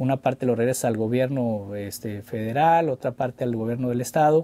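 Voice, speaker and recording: A dark, mellow tone at a moderate pace. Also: man. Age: 40s. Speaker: former mayor. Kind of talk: interview. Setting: studio. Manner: halting, many repetitions. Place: studio. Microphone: studio mic.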